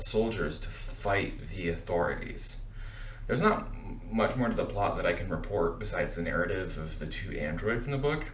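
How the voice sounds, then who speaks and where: Talking at a moderate pace, a man is heard through audible room echo and noticeable background noise. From rural Appalachia. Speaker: book vlogger. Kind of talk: book review vlog.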